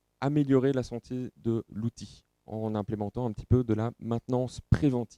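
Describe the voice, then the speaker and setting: In a Belgian accent, a man speaks at a fairly slow pace in a dark, mellow tone, recorded with a dry, close sound and no echo. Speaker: company representative presenting at trade show. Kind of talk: technical presentation. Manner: hesitant, many filler sounds.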